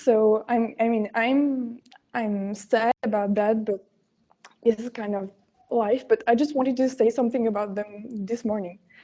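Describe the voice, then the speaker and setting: Her tone is dark and mellow as a woman talks at a fairly slow pace with a fairly high pitch. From France. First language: French. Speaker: competition contestant. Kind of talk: pitch presentation. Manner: halting.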